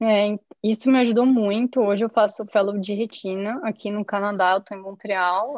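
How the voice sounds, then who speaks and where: A woman talks in a normal speaking voice at medium pitch. Her intonation stays fairly even. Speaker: ophthalmologist. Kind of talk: storytelling in interview.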